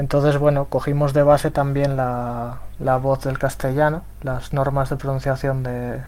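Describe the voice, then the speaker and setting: The man's intonation is monotone and flat. He keeps a moderate pace. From Spain. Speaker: software developer and translator. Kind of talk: round table talk.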